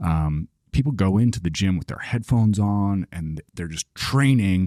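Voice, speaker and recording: A man's fairly low, dark and mellow voice with an American accent, lively intonation and a moderate pace, in a dry, close sound with no echo. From Kansas, small town. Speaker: podcast host, ex-professional basketball player. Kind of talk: casual conversation.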